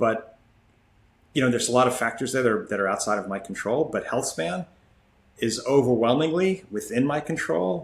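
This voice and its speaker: With lively intonation, a man of medium pitch talks at a moderate pace. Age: 60s. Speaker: ultramarathon runner. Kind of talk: interview. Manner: halting.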